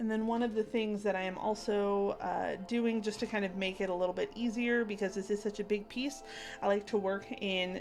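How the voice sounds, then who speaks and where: A woman at a moderate pace with fairly even intonation, with music in the background. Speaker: craft livestreamer. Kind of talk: casual livestream craft chat.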